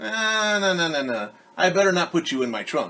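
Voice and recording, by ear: This is a put-on character voice with a bright, sharp tone. It moves at a moderate pace with big pitch swings. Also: man, high pitch for a man.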